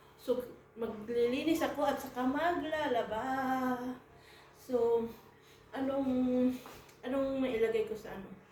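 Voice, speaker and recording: Pausing long and often, a woman with a high voice speaks at a very slow pace with fairly even intonation amid audible room echo. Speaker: vlogger. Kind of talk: casual vlog. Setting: at home. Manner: halting, many fillers.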